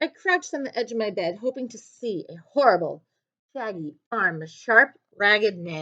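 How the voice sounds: Against a quiet background, a natural reading voice can be heard.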